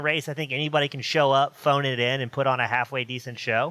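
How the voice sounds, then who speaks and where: This man talks at a fairly quick pace in a fairly high pitch, with a normal speaking voice. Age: 30s. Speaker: sim racing broadcaster. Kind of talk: casual chat.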